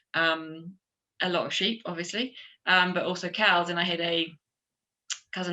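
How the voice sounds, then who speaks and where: Speaking with a New Zealand accent, a woman talks at a fairly quick pace in a fairly low pitch, with vocal fry. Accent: New Zealand twang. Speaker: chef and restaurant owner. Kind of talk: conference panel discussion. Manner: hesitant, many fillers.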